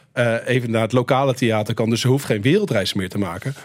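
Speaking at a fairly quick pace in a normal speaking voice, a man uses a medium pitch and ordinary pitch variation. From Netherlands. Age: 40s. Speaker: filmmaker. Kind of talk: radio interview.

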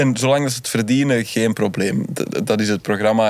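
At a fairly quick pace, a man talks in a normal speaking voice, fairly low in pitch, with ordinary pitch variation. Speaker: comedy TV writer. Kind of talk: casual chat.

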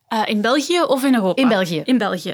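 A woman with a normal speaking voice talks at a fairly quick pace, her fairly high pitch carrying lively intonation. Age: 20s. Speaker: political science researcher. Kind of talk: panel discussion.

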